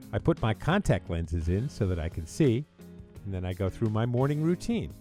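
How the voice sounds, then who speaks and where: A man with an American accent talks at a moderate pace with lively intonation while music plays in the background. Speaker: radio DJ. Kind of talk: humorous voiceover narration. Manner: playful, joking.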